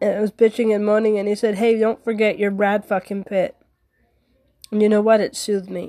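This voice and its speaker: This woman's fairly high voice has a dark, mellow tone and a monotone, flat intonation. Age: 40s. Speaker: podcast host and stand-up comedian. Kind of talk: casual monologue.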